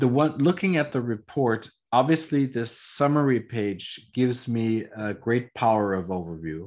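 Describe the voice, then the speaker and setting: A man speaks at a very slow pace and medium pitch. His intonation is lively, and the background is quiet. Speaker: trainer on epigenetic testing device. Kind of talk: lecture via interpreter. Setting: video call. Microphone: video call.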